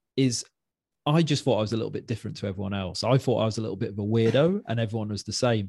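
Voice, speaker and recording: This man talks very fast in a medium pitch with ordinary pitch variation. His tone is dark and mellow, somewhat breathy. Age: 40s. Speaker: podcast host. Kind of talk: scripted narration; casual chat.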